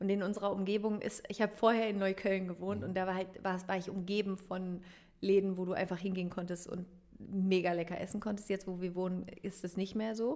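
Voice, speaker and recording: The woman's voice sits at a medium pitch and moves at a fairly quick pace. Her intonation is monotone and flat. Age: 30s. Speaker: meditation coach and podcaster. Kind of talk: interview.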